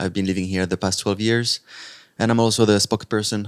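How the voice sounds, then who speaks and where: In a very clean recording with a silent background, a man speaks with a French accent and fairly even intonation. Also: dry, close sound with no echo. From France. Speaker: actor and TV host, NGO co-founder. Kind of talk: podcast interview.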